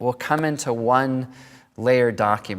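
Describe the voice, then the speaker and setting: A man talks at a moderate pace in an ordinary speaking voice. His pitch sits in the medium range. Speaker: photography instructor. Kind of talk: tutorial.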